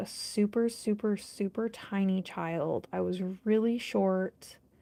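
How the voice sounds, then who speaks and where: With an American accent, a woman speaks at a very slow pace. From United States. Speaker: nail art vlogger. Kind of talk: casual chat.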